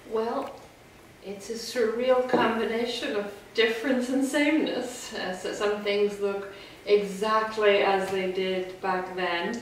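Over light background noise and audible room echo, a woman speaks at a very slow pace with fairly even intonation. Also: fairly high pitch for a woman. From Northern Ireland. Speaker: college president. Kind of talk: interview answer. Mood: warm, relaxed, smiling. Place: home room.

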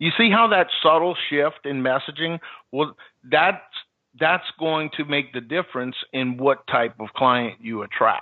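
Lively in intonation, a man with an American accent has an unremarkable speaking voice and a fairly high pitch. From US South, New Orleans. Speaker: marketing consultant and entrepreneur. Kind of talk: interview.

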